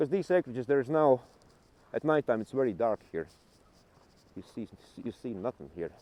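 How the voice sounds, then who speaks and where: A man with a Latvian accent and a dark, mellow tone, with lively intonation, big swings in loudness and long, frequent pauses. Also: medium pitch for a man, moderate pace, dry, close sound with no echo. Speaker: travel vlogger. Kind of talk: casual walking vlog. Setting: outdoors.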